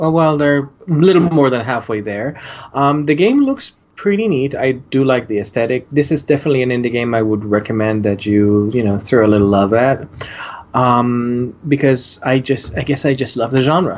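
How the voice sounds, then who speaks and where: A man talks at a moderate pace at medium pitch. Noticeable background noise is present, and his pitch varies in an ordinary way. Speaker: podcast co-host. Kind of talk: casual chat.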